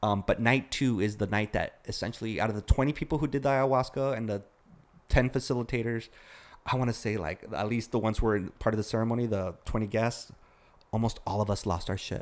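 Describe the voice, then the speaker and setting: At a fairly quick pace, a man uses an unremarkable speaking voice with a medium pitch and ordinary pitch variation. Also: very clean recording, silent background. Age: 40s. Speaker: former music industry worker. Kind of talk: casual chat.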